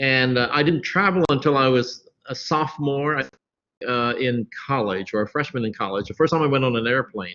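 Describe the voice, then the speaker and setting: With an American accent and an ordinary speaking voice, a man talks at a moderate pace with ordinary pitch variation. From US Midwest, Columbus, Ohio. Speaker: creative director. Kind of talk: interview.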